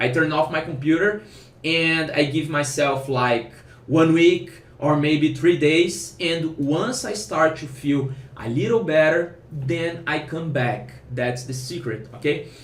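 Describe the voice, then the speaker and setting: Speaking very slowly with a non-native accent, a man uses a fairly high pitch and ordinary pitch variation, with audible room echo around him. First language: Portuguese. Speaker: programmer and online course founder. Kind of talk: casual advice vlog. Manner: halting, with self-corrections.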